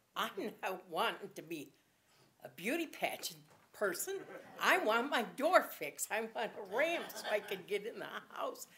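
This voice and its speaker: A woman speaks at a fairly slow pace. Her fairly high voice makes very wide pitch swings. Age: 70s. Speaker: mayoral candidate. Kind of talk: campaign speech. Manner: conversational, unscripted.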